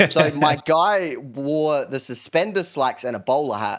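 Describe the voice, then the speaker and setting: A man with a South Australian accent uses lively intonation on a very clean recording with a silent background. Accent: South Australian, often mistaken for British. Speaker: YouTuber. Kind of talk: podcast interview.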